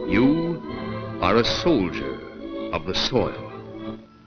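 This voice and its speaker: With music in the background, a man speaks using very wide pitch swings. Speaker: narrator. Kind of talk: documentary propaganda film narration.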